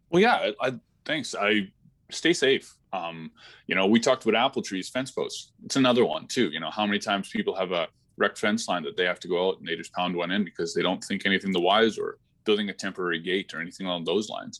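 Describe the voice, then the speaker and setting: The man races along very fast, with only quiet behind him. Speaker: energy company public affairs advisor. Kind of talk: interview.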